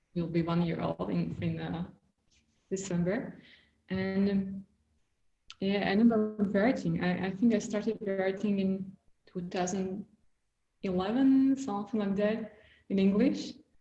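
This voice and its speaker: Speaking fairly slowly with long, frequent pauses, a woman has a dark, mellow, somewhat breathy tone and fairly even intonation. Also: medium pitch for a woman. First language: Slovak. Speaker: visual artist and writer. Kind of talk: casual conversation interview.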